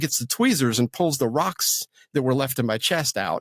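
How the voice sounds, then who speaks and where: Recorded with a dry, close sound and no echo, a man with a medium pitch speaks at a fairly quick pace with lively intonation. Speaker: voice actor and Air Force veteran. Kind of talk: interview, life story. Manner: halting, many repetitions.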